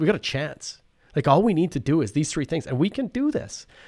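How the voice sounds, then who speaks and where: A man with a Canadian Prairie accent, fairly high in pitch and fairly quick in pace, on a very clean recording with a silent background. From Saskatchewan, Canada. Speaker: professor. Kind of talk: casual chat. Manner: halting.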